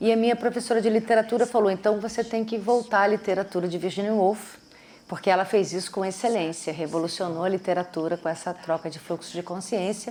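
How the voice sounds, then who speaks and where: Speaking at a fairly quick pace, a woman with a Brazilian accent has a dark, mellow tone at medium pitch and fairly even intonation. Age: 50s. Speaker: actress and playwright. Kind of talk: interview answer.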